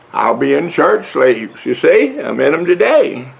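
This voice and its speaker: A man speaks with a Southern US accent over noticeable background noise. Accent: Southern drawl. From US South. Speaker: vlogger. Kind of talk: casual vlog talk. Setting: outdoors on front porch. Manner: slow, drawling.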